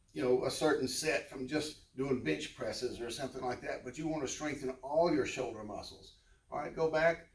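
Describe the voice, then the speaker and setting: A somewhat breathy male voice at a moderate pace. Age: 70s. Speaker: fitness instructor. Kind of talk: tutorial. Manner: casual.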